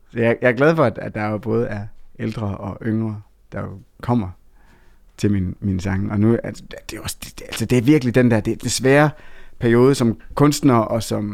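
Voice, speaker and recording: A man at a medium pitch and moderate pace, with ordinary pitch variation, big swings in loudness, and long, frequent pauses. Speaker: songwriter and author. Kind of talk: interview. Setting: studio.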